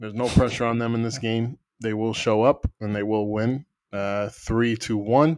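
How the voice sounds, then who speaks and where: A man with a plain, everyday voice talks at a moderate pace and medium pitch, his intonation fairly even. The sound is dry and close, with no echo. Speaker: podcast host.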